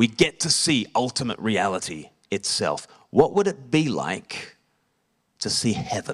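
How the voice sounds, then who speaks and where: With vocal fry and very wide pitch swings, a man speaks at a medium pitch and a fairly slow pace. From Australia. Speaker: evangelist and preacher. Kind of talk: sermon. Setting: church service with congregation.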